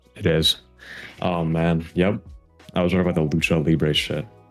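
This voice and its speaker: A man's very deep, low voice with fairly even intonation at a moderate pace, with music in the background. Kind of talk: casual podcast conversation.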